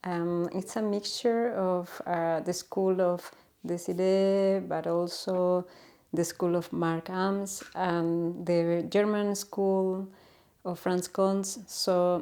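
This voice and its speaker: A woman with a Chilean Spanish accent speaks at a very slow pace in a monotone with flat intonation and a dark, mellow tone. The recording is very clean, with a silent background. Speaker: natural health educator. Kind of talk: informal explainer talk. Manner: halting, with many fillers.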